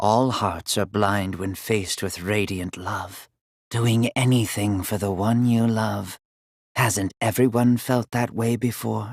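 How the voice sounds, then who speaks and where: A man uses a put-on character voice with a fairly low pitch at a fairly slow pace. The recording is very clean, with a silent background. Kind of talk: video game character voice lines. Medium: dub. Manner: measured, formal, slow.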